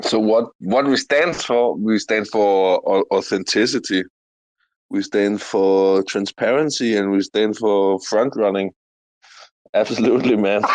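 A man talks at a fairly slow pace with ordinary pitch variation and very even loudness. The sound is dry and close with no echo. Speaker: crypto video creator. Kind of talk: casual chat. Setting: online audio room.

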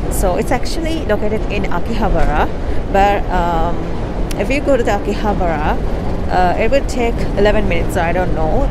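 Music plays behind a woman who speaks at a fairly quick pace, the sound dry with no echo. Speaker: travel vlogger. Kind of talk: casual vlog chat. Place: street. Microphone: lapel.

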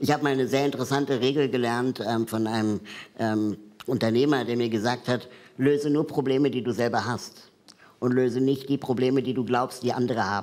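Loudness stays very even as a man talks at a moderate pace. His intonation is fairly even. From Peru. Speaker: talk show guest. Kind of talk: casual talk show chat. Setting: studio with audience. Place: studio.

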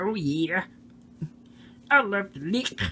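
Over clear background noise, a female-sounding voice puts on a playful character voice at a medium pitch. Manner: playful, puppet-style.

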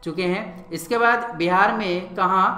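Amid noticeable background noise and audible room echo, a man with a high pitch talks with ordinary pitch variation. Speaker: online exam-prep teacher. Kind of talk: lecture. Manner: halting.

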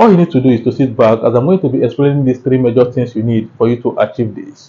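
Somewhat breathy, a man talks at a very fast pace. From Nigeria. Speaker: YouTube tutorial creator. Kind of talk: tutorial. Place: home room. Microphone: lapel.

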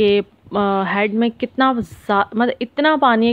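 A woman talks at a fairly slow pace with fairly even intonation, in a dry sound with no echo. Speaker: travel vlogger. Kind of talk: vlog narration. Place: car. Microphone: phone near.

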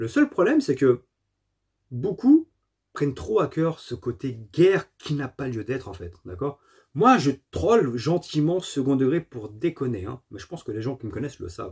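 A man with a fairly high voice and vocal fry talks at a fairly slow pace, his pitch swinging very widely and his loudness shifting in big swings, against a quiet background. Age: 40s. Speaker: gaming YouTuber. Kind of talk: casual monologue to camera. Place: home room. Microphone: phone near.

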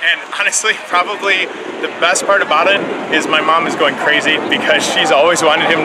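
Loud background noise surrounds a man as he talks. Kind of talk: interview answer. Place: street. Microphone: lapel.

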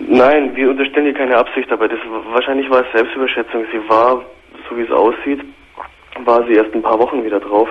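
A man at a fairly quick pace in a monotone, flat intonation. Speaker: radio caller. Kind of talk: personal phone-in account. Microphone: phone line.

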